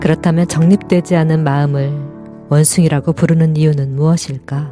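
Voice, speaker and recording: With music in the background, a woman speaks in a calm tone at a very deep, low pitch with monotone, flat intonation. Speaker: audiobook narrator. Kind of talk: meditative audiobook reading. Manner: calm, soft-spoken, slow.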